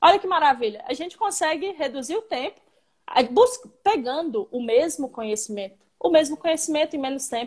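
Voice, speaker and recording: Her loudness swings a lot as a woman speaks with a high pitch and very wide pitch swings. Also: fairly quick pace. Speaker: civil engineer, live stream host. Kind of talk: casual live stream interview. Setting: online live stream.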